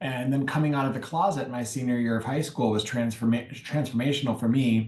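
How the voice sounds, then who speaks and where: A man with a Michigan accent speaks at a fairly quick pace. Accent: Michigan American. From US Midwest, Detroit. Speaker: nonprofit consultant. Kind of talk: interview.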